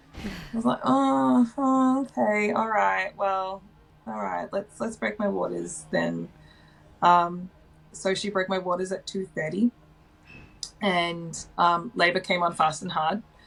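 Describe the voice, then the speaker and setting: Speaking with an Australian accent, a woman takes a very slow pace. Her intonation is lively. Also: medium pitch for a woman. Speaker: mother sharing birth stories. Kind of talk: personal storytelling interview. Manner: loud by nature; casual, many fillers.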